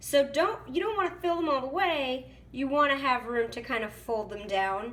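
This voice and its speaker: Over noticeable background noise, a woman with a high voice speaks at a moderate pace with very wide pitch swings. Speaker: cooking video host. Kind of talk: casual how-to talk to camera.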